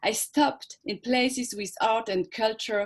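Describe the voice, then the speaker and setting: Speaking at a fairly slow pace in a French accent, a woman keeps a high pitch with ordinary pitch variation. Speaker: performance artist. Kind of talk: conference presentation. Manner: halting.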